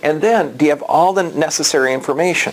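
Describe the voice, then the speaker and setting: A man's fairly high-pitched voice with ordinary pitch variation at a moderate pace, over noticeable background noise. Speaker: chiropractor giving health talks. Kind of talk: health education talk to a live audience. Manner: animated; repetitive, halting restarts.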